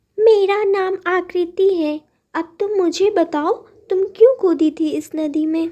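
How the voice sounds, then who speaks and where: Using a cartoonish character voice, a woman speaks at an extremely high pitch for a woman and a fairly slow pace. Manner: warm, reassuring.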